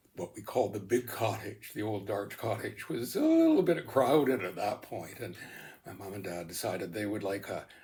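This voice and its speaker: In a Canadian accent, a man with a fairly low, somewhat breathy voice and a dark, mellow tone speaks at a moderate pace. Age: 80s+. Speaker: interviewee on local history. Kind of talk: oral history interview. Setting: at home by the lake. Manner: halting, many fillers.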